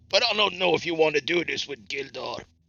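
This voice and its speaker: A man puts on a character voice and speaks at a fairly quick pace. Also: fairly high pitch for a man. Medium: actual play. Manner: blunt, friendly, easygoing.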